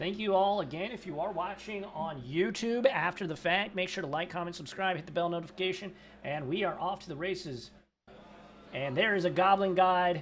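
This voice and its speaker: Fairly fast, high-pitched male speech amid clearly audible background noise. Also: ordinary pitch variation. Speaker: game commentator. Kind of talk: live commentary. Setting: commentary booth at game store. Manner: animated.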